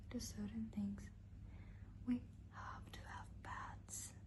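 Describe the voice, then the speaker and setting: Whispering very slowly, the woman is soft-spoken. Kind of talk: horror story narration. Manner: whispered, soft-spoken.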